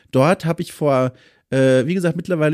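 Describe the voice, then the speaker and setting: A man speaks at a moderate pace with a fairly high pitch for a man. His tone is dark and mellow, with ordinary pitch variation. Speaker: podcast host and freelance journalist. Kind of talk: casual interview chat. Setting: remote recording over mobile hotspot.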